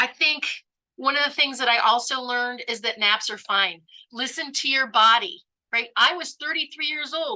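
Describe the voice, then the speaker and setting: A woman with a high, bright, sharp voice speaks in a raised, projected, upbeat tone at a moderate pace with ordinary pitch variation. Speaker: court reporter, cancer survivor. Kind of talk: talk to an audience.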